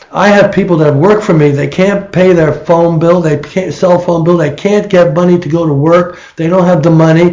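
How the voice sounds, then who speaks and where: A man talks at a moderate pace in a high pitch, his intonation fairly even. Noticeable background noise runs underneath. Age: 70s. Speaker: political candidate. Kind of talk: interview. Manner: halting.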